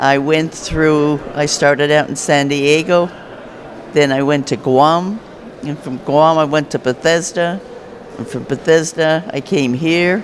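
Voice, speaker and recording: Over noticeable background noise, a man speaks at a fairly slow pace in a fairly high pitch with fairly even intonation. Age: 70s. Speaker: retired navy nurse, veteran. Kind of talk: testimony.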